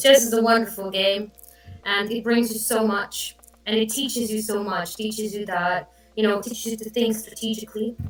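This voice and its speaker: A woman with a fairly high voice talks at a moderate pace over noticeable background noise. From Croatia, Zagreb. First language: Croatian. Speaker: chess player. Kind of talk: interview. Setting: live stream. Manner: loud; animated.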